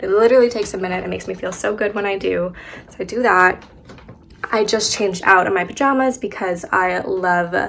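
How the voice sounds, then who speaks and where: A woman at a fairly quick pace, medium-pitched, with ordinary pitch variation and noticeable background noise. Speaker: lifestyle vlogger. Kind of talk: casual vlog narration. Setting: at home, apartment. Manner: chatty, filler-heavy.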